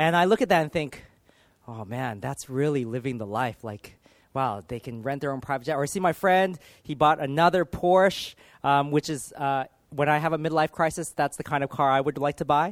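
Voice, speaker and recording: A man with a Californian accent, fairly high pitch, ordinary pitch variation and fairly quick pace, in a very clean, dry, close recording with a silent background and no echo. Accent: Californian American. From US, Los Angeles. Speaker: pastor. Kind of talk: sermon.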